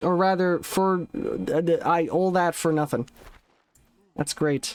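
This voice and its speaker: A man mumbles in a high pitch at a very slow pace. His intonation is fairly even and his loudness very even. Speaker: gaming streamer. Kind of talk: live gameplay commentary. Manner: mumbling.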